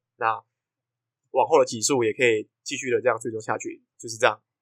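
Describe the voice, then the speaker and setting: In a very clean recording with a silent background, a man's speech moves fairly quickly. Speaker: podcast host. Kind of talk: casual chat. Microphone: new microphone bought for this episode.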